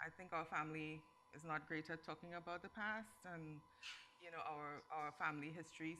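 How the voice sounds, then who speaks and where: At a fairly quick pace, a woman speaks with a fairly low pitch, fairly even intonation and a bright, sharp tone. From Trinidad, Port of Spain (Morvant). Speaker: novelist. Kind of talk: panel interview at literary festival.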